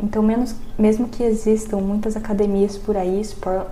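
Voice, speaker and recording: A woman talks at a fairly quick pace in a medium pitch. Noticeable background noise and audible room echo surround her voice. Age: 20s. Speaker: podcast guest. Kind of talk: casual chat.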